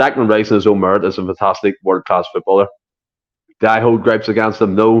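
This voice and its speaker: In an Irish accent, a man talks at a very fast pace. His pitch is fairly low, his intonation fairly even. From Ireland. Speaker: football podcast panelist. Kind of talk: casual chat. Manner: emphatic, repetitive.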